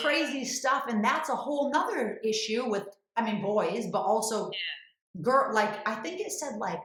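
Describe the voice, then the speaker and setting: A woman's normal speaking voice, fairly high-pitched, with lively intonation at a moderate pace. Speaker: podcast host. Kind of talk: podcast conversation.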